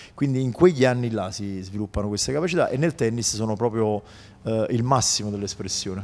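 Fairly quick speech in a man's medium-pitched voice. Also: ordinary pitch variation. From Naples area, Italy (Casoria); Italy. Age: 40s. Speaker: tennis coach. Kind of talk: interview. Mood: relaxed, warm. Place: studio. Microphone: handheld.

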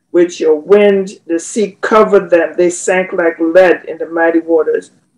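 Speaking fairly slowly at a medium pitch, a woman has an ordinary speaking voice. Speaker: prayer participant. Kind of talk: prayer and thanksgiving.

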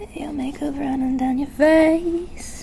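A soft-spoken man with an extremely high pitch at a very slow pace, over noticeable background noise. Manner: soft intimate ASMR voice.

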